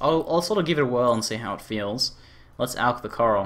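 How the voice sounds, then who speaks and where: A man speaks with an Australian accent. His tone is bright and sharp, at medium pitch. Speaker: gaming streamer. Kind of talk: live stream commentary. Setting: live stream. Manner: casual, thinking aloud with many fillers.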